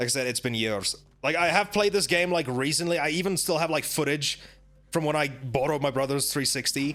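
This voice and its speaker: An ordinary speaking voice from a man, pitched fairly high with ordinary variation. He talks fairly quickly on a very clean recording with a silent background. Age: 20s. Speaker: gaming streamer. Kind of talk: gameplay commentary. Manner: casual, rambling with false starts.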